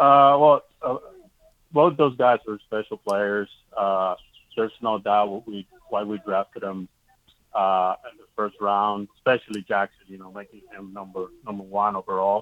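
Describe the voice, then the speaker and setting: A man speaks in a normal speaking voice, fairly low in pitch, at a moderate pace. His pitch varies in an ordinary way while his loudness swings widely. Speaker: minor league baseball manager. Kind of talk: casual interview.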